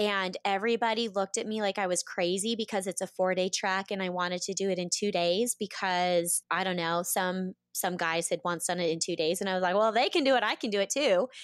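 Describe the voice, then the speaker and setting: A woman with an American accent speaks at a fairly quick pace with hardly any pauses, in an unremarkable speaking voice of medium pitch and fairly even intonation. The very clean recording is dry and close, with no echo and a silent background. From US West, Boise, Idaho. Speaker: reality TV contestant and yoga instructor. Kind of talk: interview.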